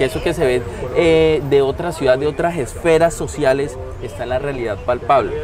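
With crowd noise in the background, a man talks at a moderate pace in a fairly high voice with ordinary pitch variation. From Colombia, Neiva (Huila); Colombia. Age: 30s. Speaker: political candidate; candidate. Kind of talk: interview. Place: cafe. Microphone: lapel.

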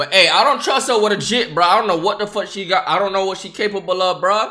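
Over a quiet background, a man talks in a raised, projected voice at a fairly quick pace. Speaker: livestreamer. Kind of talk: live reaction commentary. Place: home room. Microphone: earbuds.

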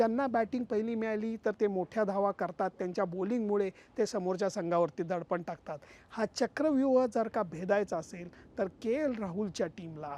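A man's high-pitched, dark, mellow voice with ordinary pitch variation, in a dry, close sound with no echo and a quiet background. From Pune, Maharashtra, India. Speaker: cricket journalist. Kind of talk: vlog commentary.

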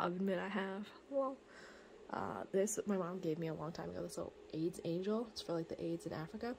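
A woman talks at a fairly quick pace, with light background noise behind her. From Canada. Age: 20s. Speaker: vlogger. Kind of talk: casual home tour vlog. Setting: at home. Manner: casual, chatty. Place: home room. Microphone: phone near.

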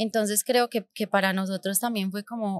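The sound is dry, with no echo. A woman speaks at a medium pitch in a monotone, flat intonation. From Colombia, Medellín (raised partly abroad). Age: 30s. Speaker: podcast host, entrepreneur; podcast host. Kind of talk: personal storytelling monologue. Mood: reflective, warm. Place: studio. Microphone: studio mic.

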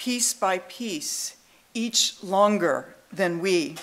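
Her intonation lively, a woman is speaking. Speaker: guest lecturer. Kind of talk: lecture. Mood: warm, light humor. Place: hall. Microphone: podium.

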